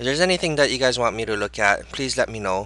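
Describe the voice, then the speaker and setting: A man is speaking. His tone is bright and sharp. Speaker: stock market analyst. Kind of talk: market analysis video. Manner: hesitant with many fillers.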